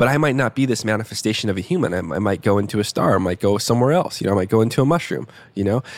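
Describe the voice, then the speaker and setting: With an American accent and a fairly low pitch, a man talks very fast. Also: lively intonation. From US Southwest, Tucson, Arizona. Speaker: coach and counselor. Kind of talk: casual chat.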